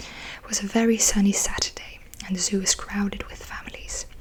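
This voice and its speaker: A soft-spoken voice over noticeable background noise. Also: woman. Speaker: ASMR creator. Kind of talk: audiobook-style reading of a novel. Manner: soft-spoken, relaxing.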